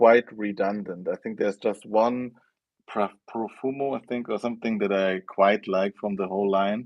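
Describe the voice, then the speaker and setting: In a German accent, a man speaks at a fairly slow pace and fairly low pitch. His intonation is fairly even. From Germany. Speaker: fragrance youtuber. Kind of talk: live stream chat. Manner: halting.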